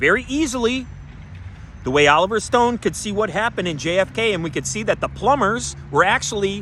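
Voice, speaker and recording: A loud, shouting man with an animated tone, a high pitch, very wide pitch swings, a fairly quick pace, and a bright, sharp tone. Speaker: conspiracy-minded show host. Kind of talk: solo monologue show. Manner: animated, yelling.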